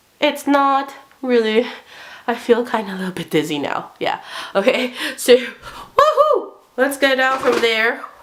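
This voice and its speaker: Over noticeable background noise, a high-pitched woman talks at a fairly slow pace with lively intonation and long, frequent pauses. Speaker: book reviewer. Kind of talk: casual vlog review. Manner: hyper.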